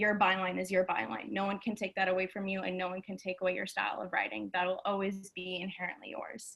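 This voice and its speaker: The delivery runs at a very fast pace with hardly any pauses. Intonation stays fairly even. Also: woman, medium pitch for a woman. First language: Amharic. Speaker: music journalist. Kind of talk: panel discussion.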